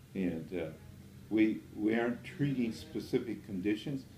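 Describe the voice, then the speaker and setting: In a dark, mellow tone, a man speaks at a moderate pace with ordinary pitch variation amid audible room echo. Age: 80s+. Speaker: natural health doctor. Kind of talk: interview. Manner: hesitant, with frequent fillers.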